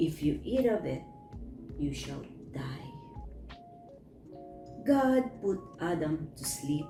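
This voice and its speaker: Over music in the background, a woman speaks at a very slow pace with long, frequent pauses and big swings in loudness. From Philippines. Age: old. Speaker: storyteller. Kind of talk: bible story reading.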